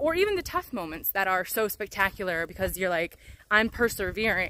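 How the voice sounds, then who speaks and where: A woman's bright, sharp voice at a moderate pace, dry with no echo. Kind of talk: casual vlog chat. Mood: earnest, candid, slightly defiant. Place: forest. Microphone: phone near.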